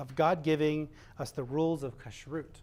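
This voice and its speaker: The recording is very clean, with a silent background. A soft-spoken man talks at a fairly high pitch. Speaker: service leader. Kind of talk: religious service; sermon.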